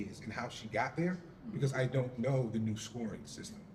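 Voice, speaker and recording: A man talks in a somewhat breathy way, his intonation lively. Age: 50s. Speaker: parent panelist. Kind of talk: panel discussion.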